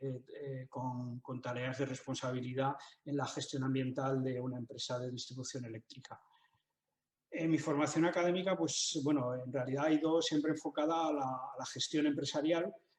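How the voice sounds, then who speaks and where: Fairly even intonation marks a man's medium-pitched speech, delivered at a moderate pace. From Spain, Zaragoza (Aragón). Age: 60s. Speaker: writer and business manager. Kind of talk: interview. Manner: halting, many fillers and repetitions.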